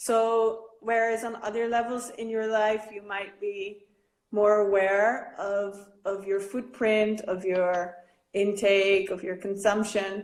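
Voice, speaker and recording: A woman speaks very slowly at medium pitch. Her intonation is monotone and flat, and there is audible room echo. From Netherlands. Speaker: artist. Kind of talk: interview.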